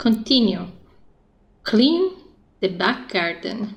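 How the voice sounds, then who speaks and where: A woman's fairly high, somewhat breathy voice at a very slow pace. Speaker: video game streamer. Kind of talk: casual gameplay commentary.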